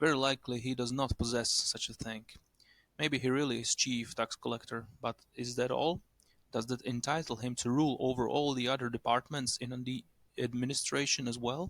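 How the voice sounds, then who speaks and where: A man with a non-native accent speaks at medium pitch and a moderate pace. His intonation is monotone and flat. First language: not English. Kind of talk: short story reading.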